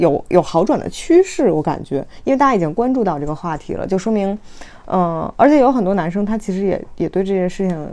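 A woman with a dark, mellow tone and medium pitch speaks at a fairly quick pace, her pitch swinging very widely. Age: 20s. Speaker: doctoral student and mother, video creator. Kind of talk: casual discussion. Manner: halting, many fillers.

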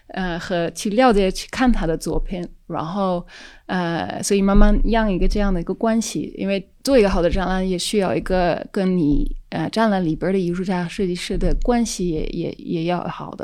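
The recording is very clean, its background silent. A woman's dark, mellow voice varies in pitch in an ordinary way. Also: medium pitch for a woman, moderate pace, hardly any pauses. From Netherlands. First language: Dutch (speaking Chinese). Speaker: independent curator. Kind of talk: casual chat. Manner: halting, many fillers.

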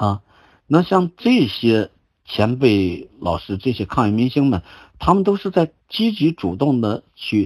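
Over a quiet background, a man talks at a fairly slow pace with very wide pitch swings, the sound dry and close with no echo. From China, Shandong (Zibo). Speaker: qigong teacher and cancer survivor. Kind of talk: lecture. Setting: online group talk. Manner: halting.

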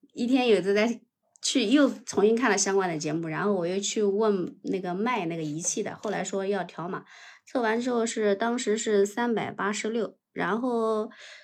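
A woman with a normal speaking voice talks at a moderate pace in a medium pitch with ordinary pitch variation, on a very clean recording with a silent background. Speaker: livestream caller sharing keto experience. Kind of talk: casual chat.

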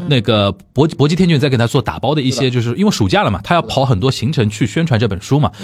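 A somewhat breathy man talks at a very fast pace. His intonation is lively, with hardly any pauses. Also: medium pitch for a man. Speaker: podcast host. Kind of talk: casual chat.

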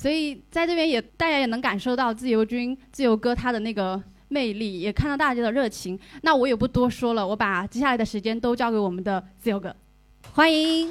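A woman speaks at a fairly quick pace in a high voice with lively intonation. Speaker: event organizer. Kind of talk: event emcee. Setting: stage with audience.

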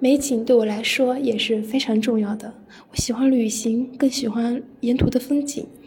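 Noticeable background noise sits behind a woman with a high pitch. Her intonation is monotone and flat. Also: moderate pace. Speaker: university student, listener contributor. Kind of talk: reading aloud.

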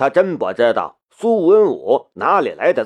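A quiet background sits behind this plain reading aloud.

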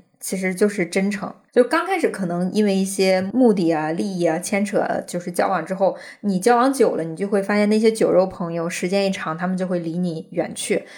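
Medium-pitched speech from a woman, delivered at a fairly quick pace. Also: ordinary pitch variation. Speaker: podcast host. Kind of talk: casual chat.

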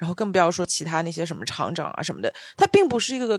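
Animated in tone, a woman talks at a very fast pace with a dry, close sound and no echo. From Shanghai. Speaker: podcast co-host. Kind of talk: casual chat.

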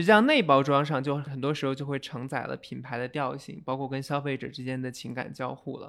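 In a very clean recording with a silent background, a man with an ordinary speaking voice talks at a fairly high pitch and a fairly quick pace with fairly even intonation. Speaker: venture capital investor. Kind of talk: interview.

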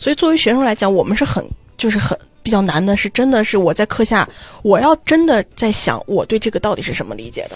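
Talking at a very fast pace, a woman with a fairly high pitch uses lively intonation and shows vocal fry. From China, Xi'an. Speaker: graduate student abroad. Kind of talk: casual chat.

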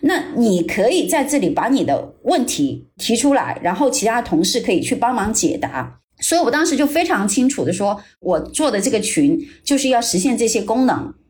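Speaking at a moderate pace, a woman keeps a high pitch and very even loudness. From China, Jiangxi. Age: 40s. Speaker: private investor, former luxury brand director. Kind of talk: interview.

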